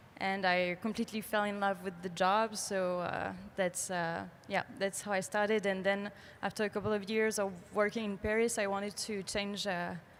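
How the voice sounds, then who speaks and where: Speaking at a moderate pace, a woman uses a medium pitch and a flat, monotone intonation. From France. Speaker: animation artist. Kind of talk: panel discussion.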